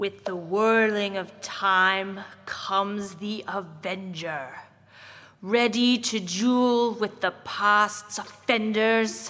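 A female-sounding voice uses a put-on character voice at medium pitch. The pace is very slow. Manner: menacing, building to a scream.

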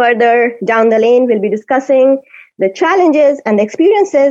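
A woman with an Indian accent speaks at a high pitch with lively intonation. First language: Hindi. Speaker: radio host. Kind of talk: radio show hosting, casual chat. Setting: video call.

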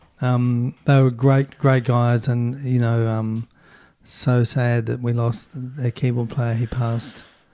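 Very slowly, a man speaks at medium pitch in a dark, mellow tone with flat, monotone intonation. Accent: Southland. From New Zealand, Invercargill (Southland). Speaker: rock keyboardist. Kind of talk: interview.

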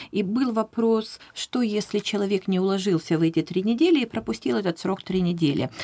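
Here a woman speaks in a medium pitch with ordinary pitch variation. She has a normal speaking voice and a moderate pace. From Russia, Vladivostok. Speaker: professional interpreter. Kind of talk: radio interview. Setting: radio studio.

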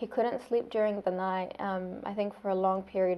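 A woman speaks at a medium pitch with a New Zealand accent. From Saudi Arabia. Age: 20s. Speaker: speech therapist, recent graduate. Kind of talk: oral history interview.

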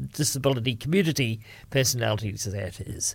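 Recorded very cleanly against a silent background, a man speaks with lively intonation in a New Zealand accent. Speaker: radio host. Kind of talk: radio DJ patter. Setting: studio. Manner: chatty, relaxed, informal.

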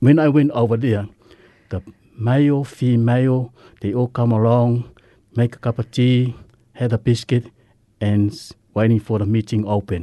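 This man's voice sits at a medium pitch with a dark, mellow tone. He keeps a moderate pace and fairly even intonation, with long, frequent pauses. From Samoa. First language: Samoan. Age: 50s.

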